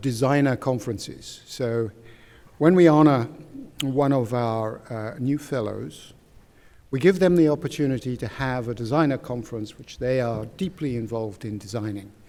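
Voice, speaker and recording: With a dark, mellow tone, a man speaks at a moderate pace in a medium pitch, showing ordinary pitch variation and big swings in loudness. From England. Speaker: society chairman introducing symposium. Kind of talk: welcome speech. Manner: halting, many fillers.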